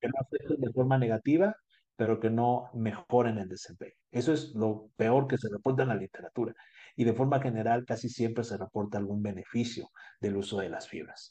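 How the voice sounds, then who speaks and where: A man's medium-pitched, ordinary speaking voice at a moderate pace, with ordinary pitch variation. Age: 20s. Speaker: dentist. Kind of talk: interview.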